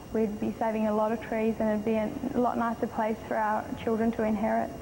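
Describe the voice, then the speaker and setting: Amid noticeable background noise, a woman with an Australian accent speaks fairly quickly at a fairly high pitch, with monotone, flat intonation and very even loudness. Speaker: beauty pageant contestant. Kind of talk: interview.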